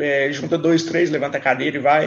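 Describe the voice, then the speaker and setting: Pitched fairly high, a man talks in a plain, everyday voice. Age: 30s. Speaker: wheelchair rugby athlete. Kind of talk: casual interview.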